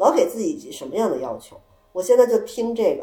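Woman at a fairly high pitch, fairly quick, with very wide pitch swings. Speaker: returning guest, host of the gathering at her home. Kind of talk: casual chat. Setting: living room at her home, echoey.

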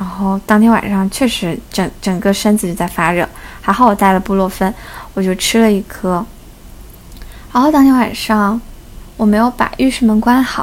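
A woman talks at a moderate pace with medium pitch. Her pitch variation is ordinary, and she takes long, frequent pauses. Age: 20s. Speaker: podcast host. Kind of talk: casual solo chat.

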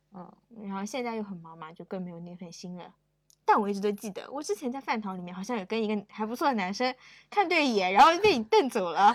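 A woman talks very fast in a fairly high pitch, her intonation lively and her loudness swinging widely. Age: 20s. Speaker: podcast guest. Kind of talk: casual chat.

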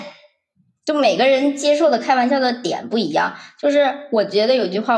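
A woman's unremarkable speaking voice at a fairly quick pace with lively intonation. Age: 20s. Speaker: office worker sharing bullying story. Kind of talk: personal testimony.

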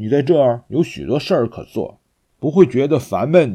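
A man's animated, fairly high voice with very wide pitch swings and vocal fry. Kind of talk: children's story audiobook reading. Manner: animated, expressive storytelling with distinct character voices.

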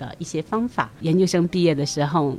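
A woman talks at a fairly quick pace in a normal speaking voice. Her pitch is fairly low, with ordinary variation. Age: middle-aged. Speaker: immigrant and community volunteer. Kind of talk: interview.

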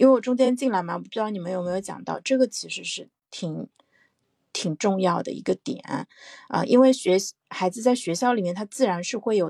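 A woman speaks in an unremarkable speaking voice with ordinary pitch variation. The sound is dry and close with no echo, on a very clean recording with a silent background. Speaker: parent and podcast panelist. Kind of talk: casual discussion. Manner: cheerful, laughs often.

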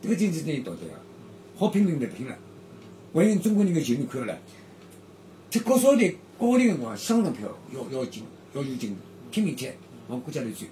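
A man with a fairly high pitch talks at a moderate pace with long, frequent pauses. His voice shows very wide pitch swings and big swings in loudness. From Shanghai, Yangpu district. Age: 70s. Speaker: former footballer and youth football coach. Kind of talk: casual interview. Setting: room in an old lane house.

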